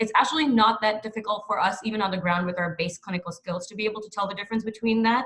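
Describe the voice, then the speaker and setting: A woman with a fairly high pitch and ordinary pitch variation, at a very fast pace with hardly any pauses. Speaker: doctor. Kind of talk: panel talk.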